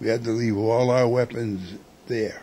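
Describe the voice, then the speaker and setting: A man speaks with a New York accent. His pace is fairly slow. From New York City (Manhattan). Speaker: war veteran. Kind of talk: interview.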